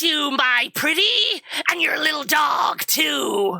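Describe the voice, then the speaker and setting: Fairly slow delivery in a high-pitched, put-on character voice. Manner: menacing, mocking.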